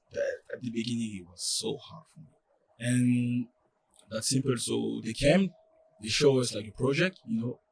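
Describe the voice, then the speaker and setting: In a French accent, the speaker moves at a moderate pace with long, frequent pauses and big swings in loudness. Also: man. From France. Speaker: college soccer player. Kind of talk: podcast interview. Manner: halting, many fillers.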